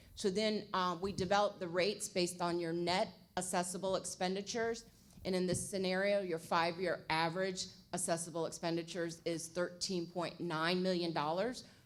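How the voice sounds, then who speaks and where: Over audible room echo, a woman speaks at a fairly quick pace with a fairly low pitch and a monotone, flat intonation. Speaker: budget consultant presenting to city council. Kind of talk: presentation to city council. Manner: fast.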